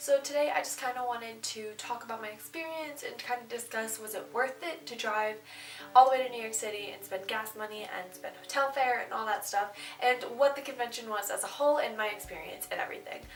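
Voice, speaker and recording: Music plays in the background of this clip, with audible room echo, a fairly quick pace, ordinary pitch variation and big swings in loudness. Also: woman, fairly high pitch for a woman. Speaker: booktuber / vlogger. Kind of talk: casual vlog talk to camera. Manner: fast; animated, excited.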